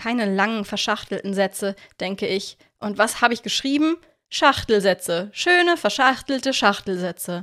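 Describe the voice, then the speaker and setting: With lively intonation and a bright, sharp tone, a woman speaks at a moderate pace with long, frequent pauses in a very clean recording against a silent background. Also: dry, close sound with no echo. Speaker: podcast host and storyteller. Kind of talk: reading aloud.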